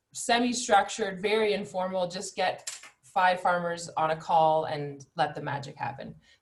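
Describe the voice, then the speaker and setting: Here a woman talks at a moderate pace. Her pitch is medium with ordinary variation. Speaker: webinar organizer. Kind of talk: online webinar introduction. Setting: video call. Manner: loud.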